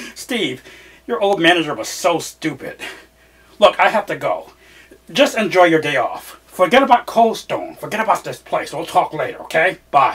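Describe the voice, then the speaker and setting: Doing a put-on character voice, a man talks at a moderate pace in a high register, his pitch swinging very widely. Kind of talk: theatrical monologue, one side of a phone call. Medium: stage play. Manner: casual, sarcastic. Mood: dismissive, hurried.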